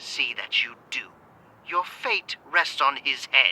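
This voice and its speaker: The speaker uses a put-on character voice that is raspy and stern in tone. Delivery is at a fairly slow pace. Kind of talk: audio drama. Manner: stern, commanding.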